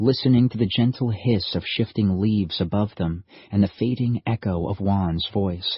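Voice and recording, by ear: A natural voice is reading aloud. The pitch varies in an ordinary way.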